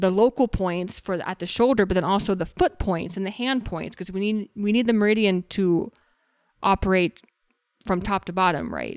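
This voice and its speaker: A woman with an American accent and a plain, everyday voice, medium in pitch, with fairly even intonation at a moderate pace in a very clean recording with a silent background. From Texas. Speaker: naturopathic doctor. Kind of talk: casual interview.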